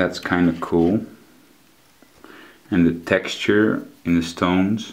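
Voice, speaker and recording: Speaking at a very slow pace, a man with a Dutch accent uses a very deep, low pitch and fairly even intonation. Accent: non-native English, Dutch. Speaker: collectibles reviewer. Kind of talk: product review. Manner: halting, frequent fillers.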